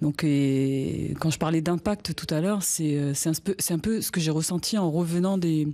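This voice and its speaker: A woman with a Wallisian accent speaks fairly slowly in a very deep, low pitch with a dark, mellow tone. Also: ordinary pitch variation, hardly any pauses. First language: Wallisian (speaking French). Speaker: singer. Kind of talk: interview. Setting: inside a traditional hut at a cultural centre. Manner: halting, many hesitations.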